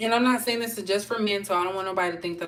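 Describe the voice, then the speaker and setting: A woman's voice over noticeable background noise. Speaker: tarot reader. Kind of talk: tarot reading monologue. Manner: casual, chatty.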